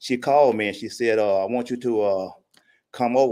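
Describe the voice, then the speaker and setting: The speaker has a Mississippi accent and ordinary pitch variation. The recording is very clean, with a silent background. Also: man. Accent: Southern US (Mississippi). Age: 70s. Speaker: public commenter. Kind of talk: public comment at city budget hearing. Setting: city council meeting.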